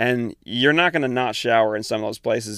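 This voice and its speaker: A man's medium-pitched voice at a fairly quick pace, fairly even in intonation, with a dry, close sound, no echo, and a very clean recording over a silent background. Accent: American. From Eastern Washington, US. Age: 20s. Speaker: travel podcaster. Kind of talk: casual solo monologue. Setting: sitting in the back of a van.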